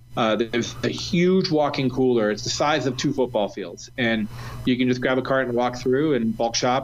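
Noticeable background noise sits behind a man talking at a moderate pace, his medium pitch held in fairly even intonation. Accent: American. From Ohio, US Midwest. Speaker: chef. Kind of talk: casual chat.

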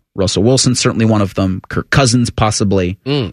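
With ordinary pitch variation and fairly low pitch, a man speaks at a moderate pace in a dry, close sound free of echo. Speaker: radio host. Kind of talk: casual radio sports talk. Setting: studio. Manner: animated, chatty.

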